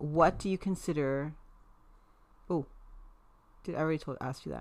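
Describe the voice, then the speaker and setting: Fairly even intonation from a woman with a very deep, low pitch. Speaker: host's mother. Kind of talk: casual chat. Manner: chatty.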